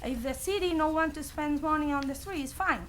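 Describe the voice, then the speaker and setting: With a non-native accent, a woman speaks at a high pitch and a moderate pace. Room echo is audible. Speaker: homeowner addressing city council. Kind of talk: public comment at council meeting. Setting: council meeting chamber with audience. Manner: halting.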